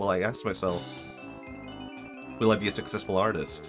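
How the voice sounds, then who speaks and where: With music playing behind him, a man talks at a fairly low pitch. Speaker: vtuber streamer. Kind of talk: casual livestream talk.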